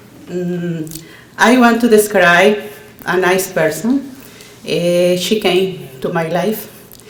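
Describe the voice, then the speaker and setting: Speech with a Nicaraguan accent comes at a very slow pace with long, frequent pauses, over audible room echo and noticeable background noise. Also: woman, medium pitch for a woman, ordinary pitch variation. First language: Spanish. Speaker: adult English learner. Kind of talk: prepared speech at ceremony. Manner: halting.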